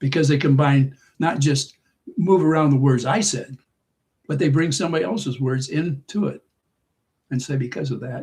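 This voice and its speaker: Long, frequent pauses break up this man's moderately paced speech. His fairly high voice is somewhat breathy, with ordinary pitch variation. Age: 80s. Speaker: livestream host. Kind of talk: casual chat. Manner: halting.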